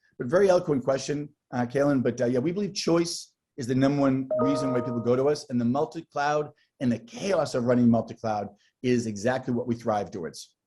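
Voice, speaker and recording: Speech moves at a fairly quick pace with music in the background. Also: man, medium pitch for a man, ordinary pitch variation. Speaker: tech company sales executive. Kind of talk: interview.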